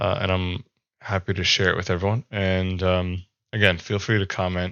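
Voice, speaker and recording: At a moderate pace, a man talks with a very deep, low pitch and monotone, flat intonation. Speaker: health vlogger. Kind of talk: casual video monologue. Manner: hesitant, many fillers.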